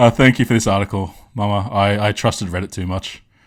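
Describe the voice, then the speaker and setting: Speaking with an Australian accent, a man talks fairly quickly at a fairly low pitch. The recording is very clean, with a silent background. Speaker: streamer, commentator. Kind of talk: live stream reaction commentary. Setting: live stream. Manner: halting, many filler words; animated.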